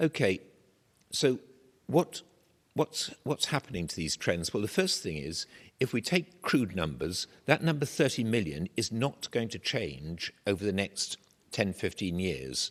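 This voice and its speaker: A man with an English accent speaks at a fairly slow pace in a fairly low pitch, with vocal fry. His pitch swings very widely. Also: dry, close sound with no echo. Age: 70s. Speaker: professor. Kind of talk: lecture.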